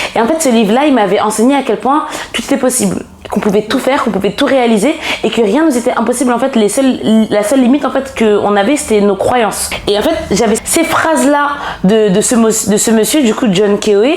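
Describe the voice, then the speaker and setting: Against noticeable background noise, a woman talks at a fairly quick pace with very even loudness. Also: fairly high pitch for a woman, ordinary pitch variation. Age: 20s. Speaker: personal development coach. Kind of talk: casual podcast interview. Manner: hesitant, many fillers.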